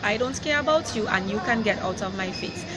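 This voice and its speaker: A woman talks at a fairly quick pace in a Caribbean accent. Noticeable background noise is present. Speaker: vlogger. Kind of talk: live rant to camera. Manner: upset, emphatic.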